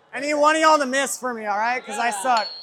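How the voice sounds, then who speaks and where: Over noticeable background noise, a man uses a raised, projected voice with lively intonation. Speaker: axe thrower. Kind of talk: casual trash talk during match. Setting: axe throwing venue, personal mic. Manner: loud, excitable, swearing.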